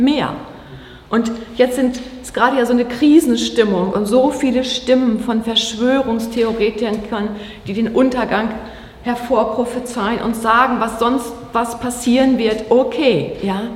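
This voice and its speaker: Amid noticeable background noise and audible room echo, a woman with high pitch speaks at a fairly slow pace with fairly even intonation. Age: 50s. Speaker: pastor. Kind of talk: sermon.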